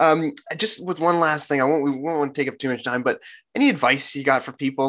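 Talking very fast, a man with a Canadian accent uses a fairly high pitch and a bright, sharp tone. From Vancouver Island, British Columbia, Canada. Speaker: podcast host, student activist. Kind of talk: interview, casual chat. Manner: enthusiastic, with many fillers and repeated words.

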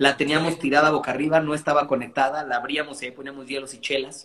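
Here a man talks with a Mexican accent. He has a fairly high pitch. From Mexico. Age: 30s. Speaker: DJ and music producer. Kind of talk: casual interview chat.

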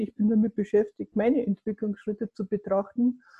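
This woman's voice is fairly high, somewhat breathy, and dark and mellow in tone. The sound is dry and close, with no echo. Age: 50s. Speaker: coach and adult education lecturer. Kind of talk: interview.

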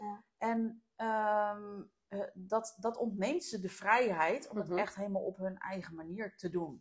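A woman speaks at a medium pitch, somewhat breathy, with ordinary pitch variation. Her pace is fairly slow with hardly any pauses. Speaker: business coach and podcast host. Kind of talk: interview. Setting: at home.

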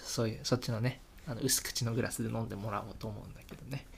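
A man whispers at a fairly quick pace. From Hokkaido, Japan. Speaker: podcast host. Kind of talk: casual chat while drinking beer.

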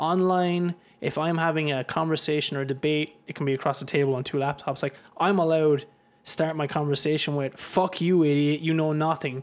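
With an Irish accent, a man talks at a fairly quick pace and a fairly high pitch, his intonation monotone and flat. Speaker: podcast host. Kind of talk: casual chat. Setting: studio.

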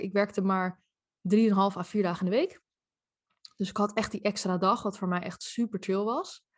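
The background is quiet. A woman with a medium pitch speaks in a somewhat breathy voice with fairly even intonation. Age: 30s. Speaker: life coach. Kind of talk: casual interview.

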